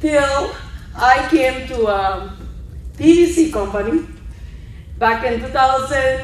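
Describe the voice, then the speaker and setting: With a Peruvian accent, a woman speaks at a high pitch with lively intonation, with audible room echo and noticeable background noise. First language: Spanish. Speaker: network marketing member. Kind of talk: speech at conference. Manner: halting.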